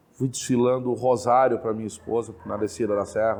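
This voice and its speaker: The speaker has a plain, everyday voice, moving at a fairly quick pace with fairly even intonation. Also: man. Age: 40s. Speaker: Umbanda practitioner. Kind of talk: interview testimony.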